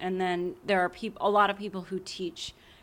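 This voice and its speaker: A woman with an American accent speaks at a medium pitch in a bright, sharp tone, on a very clean recording with a silent background. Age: 30s. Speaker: English professor. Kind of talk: casual chat.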